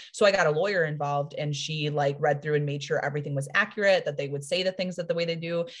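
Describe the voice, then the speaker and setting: A woman with a very deep, low pitch talks at a very fast pace with hardly any pauses, sounding somewhat breathy and keeping her intonation fairly even. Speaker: fiction writer and publisher. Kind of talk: casual interview chat.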